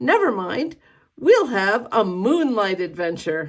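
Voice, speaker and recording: A raised, projected put-on character voice with fairly high pitch and very wide pitch swings comes at a fairly slow pace on a very clean recording with a silent background. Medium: read story.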